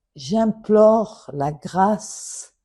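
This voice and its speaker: The woman's voice is somewhat breathy, with a dark, mellow tone. Her pitch varies normally against a quiet background. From Morocco. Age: 70s. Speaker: daughter of a late official. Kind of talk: public appeal. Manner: formal.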